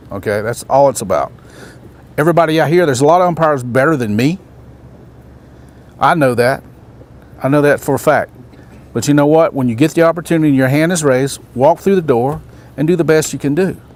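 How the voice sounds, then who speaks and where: Speech comes at a very fast pace with ordinary pitch variation, broken by long, frequent pauses, over noticeable background noise. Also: man. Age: 60s. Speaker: baseball umpire and instructor. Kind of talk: motivational talk at a training camp.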